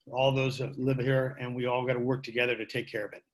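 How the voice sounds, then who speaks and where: Over music in the background, a man with an American accent talks at a fairly quick pace and a medium pitch. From Marin County, California. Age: 60s. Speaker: public commenter at board meeting. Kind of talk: public comment.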